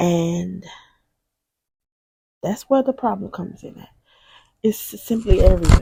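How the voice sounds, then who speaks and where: Soft-spoken, a woman talks at a fairly slow pace. The recording is very clean, with a silent background. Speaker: faith-based video host. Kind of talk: inspirational talk.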